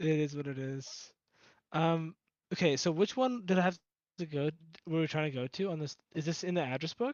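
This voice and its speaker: A man speaks with ordinary pitch variation. His pauses are long and frequent. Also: fairly high pitch for a man, fairly quick pace. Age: young. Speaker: tabletop game player. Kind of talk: casual chat.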